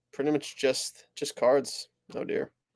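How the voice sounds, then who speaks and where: At a fairly slow pace, a man with a New Jersey accent speaks in a fairly high pitch. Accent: New Jersey American. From New Jersey, US. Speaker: sports card dealer. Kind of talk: casual chat.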